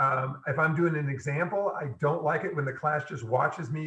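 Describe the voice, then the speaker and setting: Over noticeable background noise, a man speaks at a fairly quick pace with a fairly high pitch and ordinary pitch variation. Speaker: engineering professor. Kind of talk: lecture. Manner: fast.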